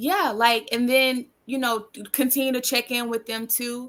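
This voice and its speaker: In a Southern US accent, a woman speaks very slowly in a fairly high, bright, sharp tone. The recording is very clean, with a silent background. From US South. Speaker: podcast guest. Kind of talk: casual chat.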